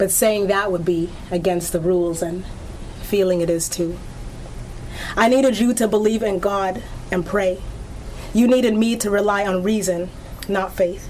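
A woman's voice with long, frequent pauses over noticeable background noise. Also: medium pitch for a woman, fairly even intonation, moderate pace. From Nova Scotia, Antigonish. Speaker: poet. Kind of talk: poetry reading. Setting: bookstore event with audience.

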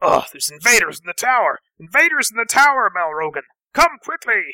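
This man uses a gruff, put-on character voice pitched extremely high. He talks at a fairly quick pace. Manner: shouting, alarmed.

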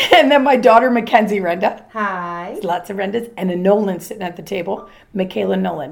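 Speaking at a fairly quick pace with hardly any pauses, a woman with vocal fry keeps a medium pitch and ordinary pitch variation while her loudness swings widely. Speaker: podcast host. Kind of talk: casual chat. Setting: kitchen table at home. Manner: animated.

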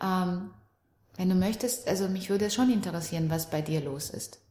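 A woman at a moderate pace. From Romania. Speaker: NLP trainer and relationship coach. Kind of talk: casual interview chat.

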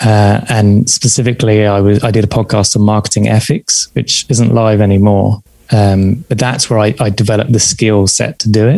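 A man with a southern English accent at a moderate pace and fairly low pitch, with fairly even intonation, very even loudness and hardly any pauses. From southern England. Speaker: podcast host and psychotherapist in training. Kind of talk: interview.

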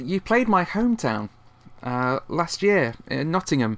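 On a very clean recording with a silent background, a speaker with a British accent moves through very wide pitch swings. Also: man. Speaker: podcast host. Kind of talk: interview.

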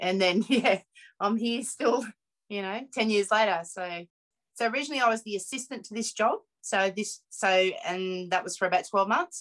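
The speaker talks with a rural Australian accent at a moderate pace with ordinary pitch variation. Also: woman, fairly high pitch for a woman. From Mudgee, central west New South Wales, Australia. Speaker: artist and curator. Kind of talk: interview.

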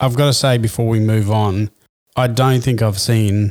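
On a very clean recording with a silent background, a man with an Australian accent speaks in a monotone, flat way at a medium pitch and moderate pace. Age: 40s. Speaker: sports podcast host. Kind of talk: casual chat.

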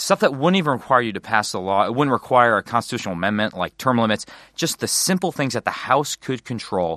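A man with an American accent speaks at a fairly quick pace in a bright, sharp tone, recorded dry and close with no echo against a quiet background. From Wisconsin. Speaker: congressman. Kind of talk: casual interview.

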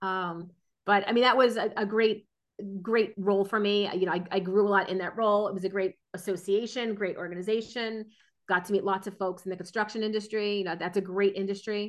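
A woman with an American accent talks fairly quickly at medium pitch. Her intonation is monotone and flat against a quiet background. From New Jersey. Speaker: strategy consultant. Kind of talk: casual interview.

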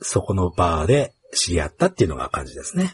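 Swinging very widely in pitch, a man speaks in a dry, close sound with no echo. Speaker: podcast host. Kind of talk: casual interview.

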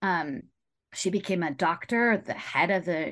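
A woman with an unremarkable speaking voice talks at a moderate pace and medium pitch against a quiet background. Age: 40s. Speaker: documentary filmmaker. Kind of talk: interview.

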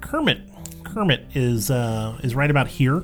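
A put-on character voice, nasal and low-to-middle in pitch, moves at a moderate pace. Clear music plays in the background. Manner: demo of puppet voice.

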